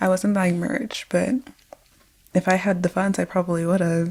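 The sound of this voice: A soft-spoken woman talks at a fairly low pitch and a fairly slow pace. Her slightly mellow tone shows little pitch movement.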